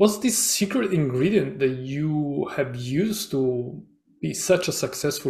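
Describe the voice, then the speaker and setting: A man with a fairly high pitch speaks at a fairly slow pace with lively intonation. His voice has a dark, mellow tone and is somewhat breathy, on a very clean recording with a silent background. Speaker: podcast host. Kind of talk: interview. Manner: halting, hesitant with fillers.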